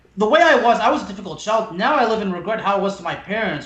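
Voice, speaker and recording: Over noticeable background noise, a man talks at a very fast pace. His pitch is high. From France. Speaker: podcast host. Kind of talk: casual chat.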